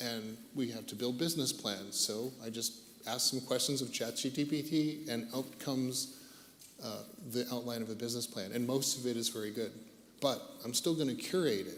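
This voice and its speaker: At a moderate pace, a man with an American accent speaks in an unremarkable speaking voice, medium in pitch with fairly even intonation. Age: 60s. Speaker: tech industry veteran, panelist. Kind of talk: panel discussion.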